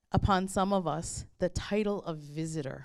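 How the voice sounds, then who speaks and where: Speaking in a Chicago accent, a woman uses a fairly low pitch with ordinary pitch variation at a fairly slow pace. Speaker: history professor and event moderator. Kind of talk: reflective talk at a book launch. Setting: book launch event with audience.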